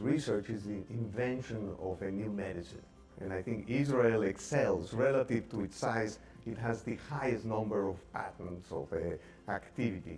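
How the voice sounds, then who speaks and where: A man speaks at a fairly low pitch, with ordinary pitch variation. His pace is moderate, and music sounds in the background. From Mexico. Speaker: biotech executive. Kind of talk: video tribute interview.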